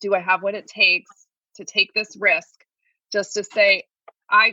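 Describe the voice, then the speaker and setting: The woman speaks in an American accent, and the sound is dry and close with no echo. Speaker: podcast co-host, lactation business coach. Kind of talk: casual group chat, episode wrap-up.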